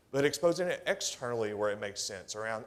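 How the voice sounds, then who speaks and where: With a slight Tennessee accent, a man talks at a fairly quick pace in an animated tone, his pitch swinging very widely. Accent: subtle Tennessee. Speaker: government technology executive. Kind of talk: conference presentation. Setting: stage with audience. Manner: conversational, animated.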